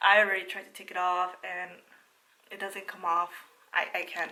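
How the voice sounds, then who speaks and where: A woman's voice over noticeable background noise. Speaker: lifestyle vlogger. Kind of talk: casual vlog talk to camera. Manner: casual, with fillers.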